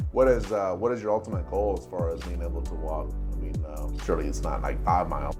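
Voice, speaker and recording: With music in the background, the speech rushes at a very fast pace with hardly any pauses. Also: man. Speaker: clinician. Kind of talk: patient interview questions.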